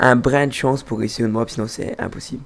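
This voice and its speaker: A man talks at a fairly quick pace with a slight Belgian accent. His intonation stays fairly even. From Belgium. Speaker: gamer. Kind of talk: casual chat. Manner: halting.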